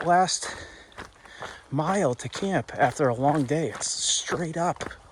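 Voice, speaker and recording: Over noticeable background noise, a man with a fairly high pitch speaks at a very slow pace, his voice making very wide pitch swings. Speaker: thru-hiker vlogger. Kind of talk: casual vlog monologue. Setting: outdoors on hiking trail. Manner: casual, filler-heavy.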